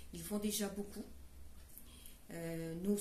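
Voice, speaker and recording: At a very slow pace, a somewhat breathy voice with a dark, mellow tone comes through with audible room echo. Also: woman. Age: 70s. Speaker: caregiver and fundraiser. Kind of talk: charity presentation. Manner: hesitant, many fillers.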